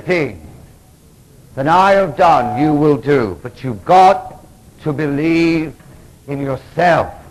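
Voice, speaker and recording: Audible room echo surrounds a man speaking at a very slow pace, his pitch fairly high and his intonation lively. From England. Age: 40s. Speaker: Episcopal priest and recovery speaker. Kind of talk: conference lecture. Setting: stage with audience. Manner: animated. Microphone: analog recording, poor quality.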